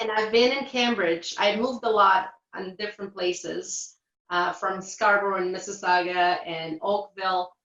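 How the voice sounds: A woman's fairly slow, fairly even-toned voice with a Portuguese accent, medium in pitch and fairly bright in tone.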